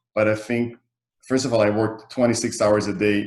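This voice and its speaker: Here a man talks at a moderate pace in a fairly low pitch. His intonation is monotone and flat. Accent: Israeli. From Israel. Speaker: real estate developer. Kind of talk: interview. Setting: video call.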